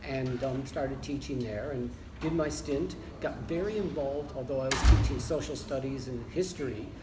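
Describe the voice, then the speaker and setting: With audible room echo, a man with an American accent speaks at a moderate pace and medium pitch, with ordinary pitch variation. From United States (Michigan). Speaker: leisure studies academic. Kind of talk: interview. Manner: hesitant with fillers.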